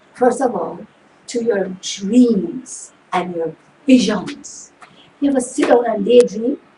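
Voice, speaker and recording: With noticeable background noise behind her, a woman with a fairly high pitch and lively intonation speaks very slowly, with long, frequent pauses. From Jamaica. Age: 60s. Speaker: motivational show host. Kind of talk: motivational talk. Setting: home studio.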